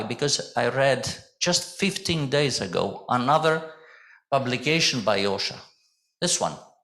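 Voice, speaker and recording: A man's bright, sharp voice at a moderate pace, with audible room echo. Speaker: mechanical engineer, safety committee chairman presenting. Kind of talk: conference presentation. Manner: loud.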